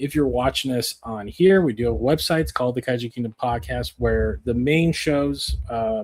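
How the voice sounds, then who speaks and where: Hardly pausing, a man with an ordinary speaking voice talks at a moderate pace and a medium pitch, his intonation lively. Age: 40s. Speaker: podcast host. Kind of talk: casual chat. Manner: casual, with many fillers.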